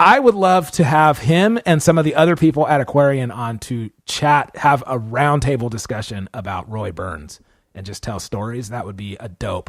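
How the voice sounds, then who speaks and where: Speaking at a moderate pace and medium pitch, a man with an American accent sounds animated, his intonation lively, on a very clean recording with a silent background. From California. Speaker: podcast host and drum teacher. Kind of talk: casual chat.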